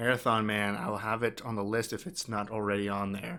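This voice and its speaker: A man's medium-pitched voice with a bright, sharp tone, a moderate pace and fairly even intonation. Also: very clean recording, silent background. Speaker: streamer. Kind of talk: casual chat. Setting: live stream. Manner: halting.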